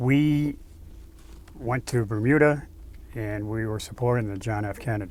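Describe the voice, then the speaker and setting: A man with an Eastern New England accent at medium pitch, with a moderate pace, ordinary pitch variation and long, frequent pauses. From Natick, Massachusetts. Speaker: Navy veteran. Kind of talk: interview answer.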